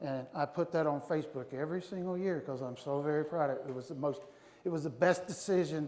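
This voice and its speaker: With audible room echo and noticeable background noise, a man speaks at a fairly quick pace, his pitch varying in an ordinary way. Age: 60s. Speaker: navy veteran, conference speaker. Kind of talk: motivational talk. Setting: stage with audience. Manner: animated.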